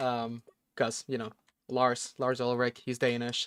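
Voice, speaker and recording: A Texan accent comes through at a moderate pace, with a dry, close sound and no echo. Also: man. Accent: American-sounding, picked up from Texas. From Norway. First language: Norwegian. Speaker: gaming streamer. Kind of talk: casual live stream chat. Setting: live stream.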